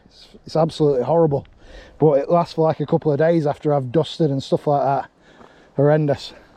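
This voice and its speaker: In an English accent, a dark, mellow tone rushes at a very fast pace with monotone, flat intonation and big swings in loudness. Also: man, fairly high pitch for a man. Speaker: angling vlogger. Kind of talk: casual vlog commentary.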